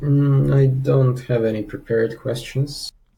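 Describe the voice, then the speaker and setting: At a very slow pace, a man speaks in a somewhat breathy voice with a dark, mellow tone and ordinary pitch variation. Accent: non-native. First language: not English. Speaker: student player. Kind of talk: coaching session. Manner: halting.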